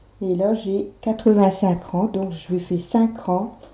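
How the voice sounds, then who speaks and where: The speech moves at a very slow pace in a monotone, flat intonation. Noticeable background noise runs underneath it. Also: woman. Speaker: knitting tutorial maker. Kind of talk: tutorial.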